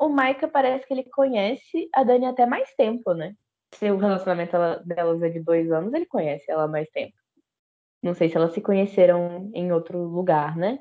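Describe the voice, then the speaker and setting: Delivered at a moderate pace, this is an ordinary speaking voice with lively intonation. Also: woman, medium pitch for a woman. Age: 20s. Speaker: history teacher. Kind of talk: casual chat. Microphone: voice cutting out.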